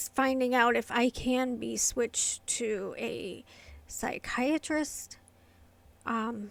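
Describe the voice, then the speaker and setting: Very slow, quiet speech with fairly even intonation. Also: woman, high pitch for a woman. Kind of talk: casual talk to camera. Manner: quiet, hard to hear; hesitant, many fillers.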